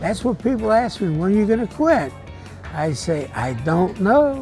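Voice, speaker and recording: Very wide pitch swings mark the speech, with music in the background. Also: man. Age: 80s+. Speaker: World War II veteran; grocery store bagger. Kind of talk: interview answer.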